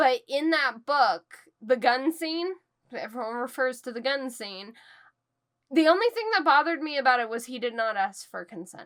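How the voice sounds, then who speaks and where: A woman talks at a moderate pace in a high voice, her loudness swinging widely. The recording is very clean, with a silent background. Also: lively intonation. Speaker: book reviewer. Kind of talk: casual chat. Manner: not loud.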